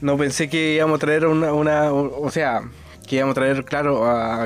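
A man talks at a fairly quick pace in a Chilean accent. His pitch is fairly high. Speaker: podcast host; driver. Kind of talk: casual chat.

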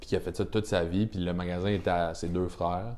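The man's voice has a dark, mellow tone. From Quebec, Rimouski. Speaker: brand agency representative, snowboarder. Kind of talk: casual chat.

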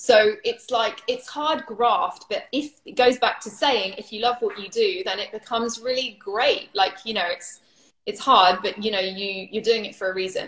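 A woman's fairly high voice at a moderate pace, with lively intonation and big swings in loudness. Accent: British. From United Kingdom. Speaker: yoga teacher. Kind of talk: casual interview on Instagram Live. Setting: Instagram Live video stream.

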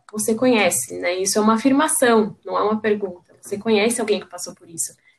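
This woman has an ordinary speaking voice at a medium pitch, with ordinary pitch variation. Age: 20s. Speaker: reproductive rights activist. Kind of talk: casual chat.

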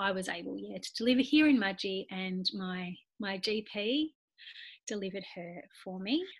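A somewhat breathy voice in an Australian accent, with big swings in loudness and ordinary pitch variation at a fairly slow pace. The recording is very clean, with a silent background. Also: woman. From Australia, Nowra NSW. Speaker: occupational therapist and mother. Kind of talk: interview, personal birth story.

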